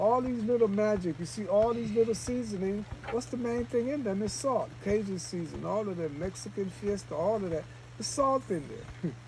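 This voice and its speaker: A man with a high pitch speaks at a moderate pace in an animated tone with lively intonation. Noticeable background noise runs behind him. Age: 70s. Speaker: retreat leader, raw food and fasting teacher. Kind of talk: casual group talk.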